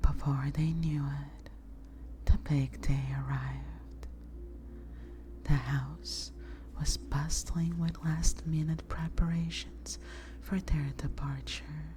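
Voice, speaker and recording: This soft-spoken voice moves at a very slow pace with long, frequent pauses. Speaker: VTuber ASMR streamer. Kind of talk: bedtime story reading.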